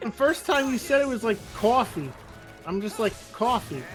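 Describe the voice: Over background music, a man with a New Jersey accent speaks at an extremely high pitch and moderate pace, his intonation lively.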